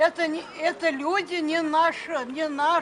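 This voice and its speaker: Crowd noise fills the background. The speaker goes at a fairly slow pace. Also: woman. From Ukraine. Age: 80s+. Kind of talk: street argument with young activists.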